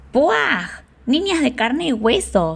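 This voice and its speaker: A put-on character voice, female-sounding and shrill, sits fairly high in pitch, swings very widely and moves at a fairly slow pace. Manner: disgusted, mocking.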